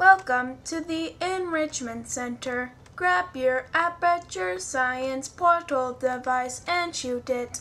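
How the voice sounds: Doing a put-on character voice, a woman speaks very slowly in a high, robotic voice with hardly any pauses, against clear background noise.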